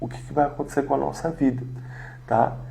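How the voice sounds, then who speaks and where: A soft-spoken man talks with audible room echo. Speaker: pastor. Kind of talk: devotional sermon livestream. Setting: home livestream. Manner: soft-spoken, talking quietly; hesitant fillers.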